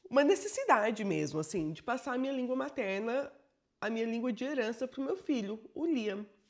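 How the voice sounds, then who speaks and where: A woman with a high voice speaks in an animated tone at a moderate pace, her pitch swinging very widely. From Brazil. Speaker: bilingual educator and vlogger. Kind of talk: personal storytelling vlog.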